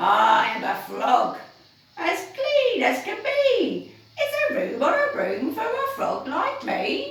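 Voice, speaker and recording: A croaky, put-on character voice pitched extremely high. It moves at a very slow pace with a slight echo. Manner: polite, pleading.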